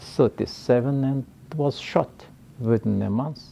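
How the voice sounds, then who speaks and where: The speaker talks at a fairly slow pace with a Mongolian accent. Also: man. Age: 80s+. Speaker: professor. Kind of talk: interview. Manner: halting.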